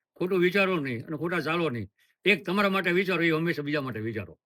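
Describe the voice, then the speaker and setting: With a bright, sharp tone and lively intonation, a man speaks at a high pitch. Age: 70s. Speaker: sadhu, former police officer. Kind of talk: interview.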